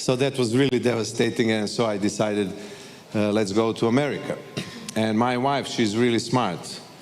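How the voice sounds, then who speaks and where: At a moderate pace and medium pitch, a man speaks in a Serbian accent over noticeable background noise. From Serbia, Belgrade. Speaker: actor. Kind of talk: panel interview. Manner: halting.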